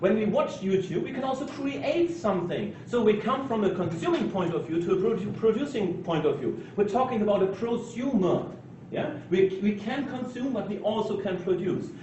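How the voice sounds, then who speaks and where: A high-pitched man talks with lively intonation and hardly any pauses. Noticeable background noise and audible room echo fill the recording. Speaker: conference speaker. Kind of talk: conference talk. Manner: fast; halting.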